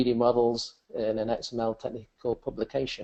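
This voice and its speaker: A man's medium-pitched voice with an English accent. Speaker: software presenter. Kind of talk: webinar software demonstration. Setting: webcast.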